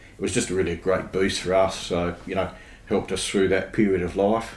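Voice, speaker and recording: An Australian-accented man speaks at a fairly quick pace with a very deep, low pitch. His intonation is monotone and flat, with audible room echo. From Australia, Adelaide. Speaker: podcast guest, church member. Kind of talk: casual interview chat. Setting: podcast recording.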